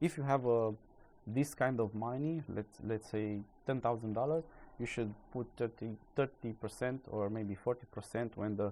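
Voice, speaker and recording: A man talks with a non-native accent at a moderate pace. His voice sits at a medium pitch. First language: not English. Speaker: crypto YouTuber. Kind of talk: casual market commentary. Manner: halting, many fillers.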